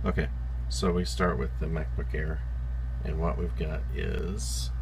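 Against noticeable background noise, a man with an American accent speaks very slowly in a very deep, low pitch and a monotone, flat intonation. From Southern United States. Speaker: tech hobbyist. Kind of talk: casual tech tutorial. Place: home room. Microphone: phone near.

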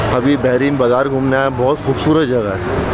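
Loud background noise around a man's dry voice with no echo. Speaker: travel vlogger. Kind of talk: casual vlog chat. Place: street. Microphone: phone near.

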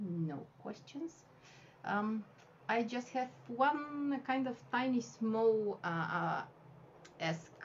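A woman with a Bulgarian accent, very slow pace, lively intonation, long, frequent pauses and light background noise. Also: fairly high pitch for a woman. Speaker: wafer paper flower artist and teacher; cake decorating instructor. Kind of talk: tutorial. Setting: live video stream from home. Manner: halting, many fillers. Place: home room.

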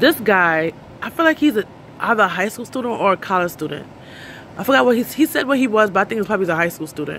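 Over light background noise, the dry, echo-free recording captures a voice whose pitch swings very widely. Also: woman. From New York City. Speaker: vlogger. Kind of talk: casual chat. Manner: fast talker; chatty, rambling. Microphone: phone near.

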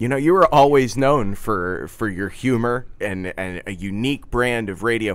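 An ordinary speaking voice from a man with an American accent, medium in pitch, with ordinary pitch variation, a moderate pace, and hardly any pauses. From Philadelphia area. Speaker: podcast producer and host; podcast producer, host. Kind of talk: interview. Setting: studio. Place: studio.

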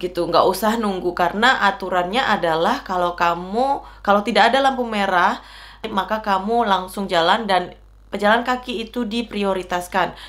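Ordinary pitch variation at a moderate pace. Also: woman. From Indonesia. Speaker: vlogger. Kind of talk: casual talk to camera. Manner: loud and excitable. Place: home room.

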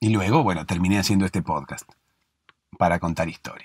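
A man with a Rioplatense accent speaks in a very deep, low pitch and a calm, soothing tone, the sound dry and close with no echo, in a very clean recording with a silent background. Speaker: sleep podcast host. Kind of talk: bedtime story narration. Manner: slow, calm, soothing storytelling.

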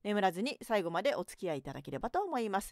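A woman's voice swings very widely in pitch, recorded dry with no echo against a quiet background. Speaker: narrator and writer; radio host. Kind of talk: late-night radio talk show. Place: studio.

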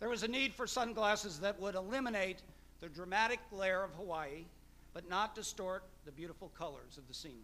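A man uses a raised, projected voice with a bright, sharp tone. He talks at a fairly quick pace with ordinary pitch variation. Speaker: event host introducing the guest lecturer. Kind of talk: formal speaker introduction. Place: hall. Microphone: podium.

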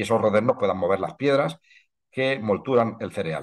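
A man with lively intonation over a quiet background. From Spain, La Mancha (Ciudad Real); La Mancha, Spain. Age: 60s. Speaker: historian and heritage researcher. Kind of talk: online lecture. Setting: video call. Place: home room. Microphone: webcam.

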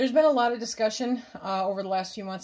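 A woman's voice with ordinary pitch variation over a quiet background. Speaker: home canning channel host. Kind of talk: casual tutorial chat. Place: kitchen. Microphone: phone near.

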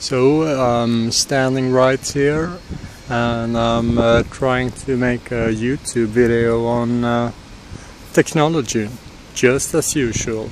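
Light background noise sits under a man speaking very slowly, the sound dry with no echo. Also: fairly even intonation. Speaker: tech vlogger. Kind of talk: casual vlog chat. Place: street. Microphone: phone near.

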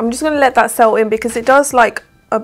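With a southern English accent, a woman talks fast at a fairly high pitch with fairly even intonation. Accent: British, southern English.

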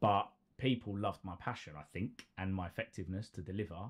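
Speaking at a fairly quick pace, a man keeps a low pitch with ordinary variation.

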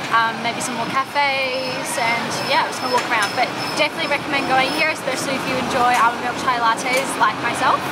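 Loud noise dominates the background. A woman speaks over it at a fairly quick pace. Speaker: travel vlogger. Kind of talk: casual vlog chat. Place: street. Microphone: phone near.

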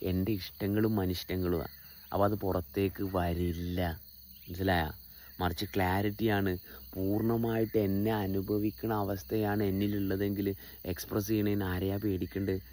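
Very clean recording, silent background, with a man speaking at a fairly low pitch in a dark, mellow tone. His intonation is fairly even and his loudness very even. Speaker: spiritual teacher. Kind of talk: spiritual talk. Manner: halting, full of pauses and restarts.

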